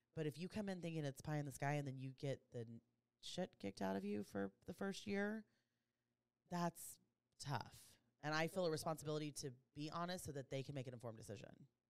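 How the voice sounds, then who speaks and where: A woman talks at a very fast pace with a very deep, low pitch. Her pitch swings very widely, broken by long, frequent pauses. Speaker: insurance agent, podcast co-host. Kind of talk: casual chat. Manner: fast talker.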